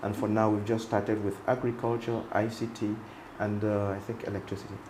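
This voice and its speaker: A man speaks fairly quickly in a monotone, flat way, with audible room echo. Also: fairly low pitch for a man. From Cameroon, Northwest region. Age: 60s. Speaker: medical doctor and entrepreneur. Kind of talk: interview.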